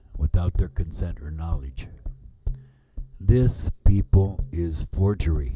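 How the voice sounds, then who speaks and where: Speaking at a fairly slow pace, a man has a very deep, low voice, dark and mellow in tone, somewhat breathy, with ordinary pitch variation. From Lakota, US Great Plains. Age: 70s. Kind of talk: spoken-word performance over music.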